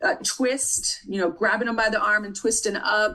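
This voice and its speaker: A woman's fairly high voice with a bright, sharp tone. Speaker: nursing tutor. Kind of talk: tutoring lecture.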